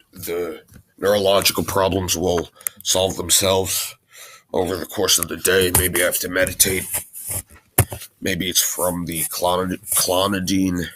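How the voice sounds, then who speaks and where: Pausing long and often, a man with a very deep, low pitch speaks at a fairly slow pace. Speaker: video blogger. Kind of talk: casual monologue. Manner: stuttering and stammering.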